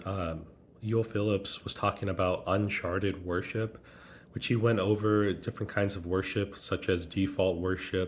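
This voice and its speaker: A man with a fairly low pitch talks in a somewhat breathy voice. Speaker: vlogger, liturgical dancer. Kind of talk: casual vlog narration. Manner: halting with many fillers.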